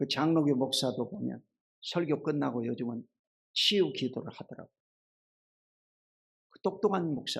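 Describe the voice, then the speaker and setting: A man speaks at a fairly high pitch with vocal fry, big swings in loudness, and long, frequent pauses. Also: lively intonation, moderate pace. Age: 60s. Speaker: pastor. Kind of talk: sermon.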